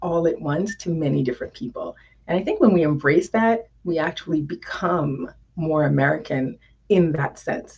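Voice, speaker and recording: Somewhat breathy and fairly low-pitched, a woman speaks with a dark, mellow tone and ordinary pitch variation. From US, New York (Haitian family). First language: French and Haitian Creole. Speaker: diversity consultant. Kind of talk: interview. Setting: live stream.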